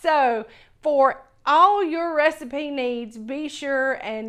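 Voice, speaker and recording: A Southern US accent with ordinary pitch variation, set against a quiet background. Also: woman. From US South. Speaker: cooking channel host. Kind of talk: cooking tutorial. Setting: home kitchen. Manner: casual, enthusiastic.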